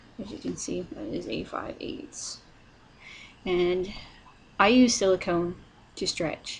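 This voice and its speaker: Soft-spoken and at a medium pitch, a woman talks at a very slow pace with long, frequent pauses, vocal fry, lively intonation, and big swings in loudness. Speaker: vlogger. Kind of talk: casual tutorial vlog. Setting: at home, partner sleeping nearby. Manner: quiet, soft-spoken; hesitant, many fillers.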